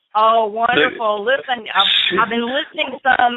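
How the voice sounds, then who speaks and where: This woman talks in a fairly high voice with ordinary pitch variation. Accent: American. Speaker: former wrestling TV host. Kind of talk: casual chat. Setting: phone call.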